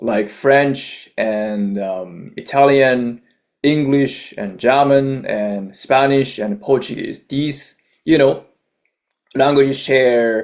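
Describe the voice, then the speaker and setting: A man talks at a very slow pace. He has a Japanese accent. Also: medium pitch for a man, ordinary pitch variation. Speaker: YouTuber, language learner. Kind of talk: casual vlog monologue.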